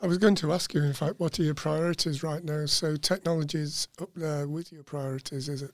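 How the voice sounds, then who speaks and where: An ordinary speaking voice from a man, fairly high-pitched, at a fairly quick pace with hardly any pauses and fairly even intonation. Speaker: podcast host. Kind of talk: interview. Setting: studio.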